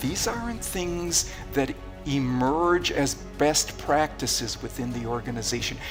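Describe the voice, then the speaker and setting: Over music in the background, a man with a fairly high pitch speaks at a fairly slow pace and lively intonation. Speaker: keynote speaker and persuasion researcher. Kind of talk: keynote talk excerpts in a promotional reel.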